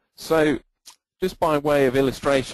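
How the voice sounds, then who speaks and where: The sound is dry and close with no echo as a man speaks in an English accent. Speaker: database consultant and presenter. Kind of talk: technical webinar presentation. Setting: online webinar with screen sharing.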